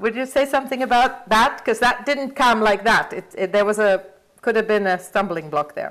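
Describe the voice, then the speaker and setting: A woman with a non-native accent speaks with ordinary pitch variation. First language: not English. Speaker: interviewer and leadership trainer. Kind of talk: interview conversation. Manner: halting.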